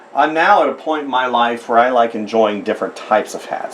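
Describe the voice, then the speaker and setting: A man with an American accent, medium-pitched and lively in intonation, at a moderate pace amid noticeable background noise. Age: 50s. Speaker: artist. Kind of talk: drawing tutorial. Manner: casual, rambling.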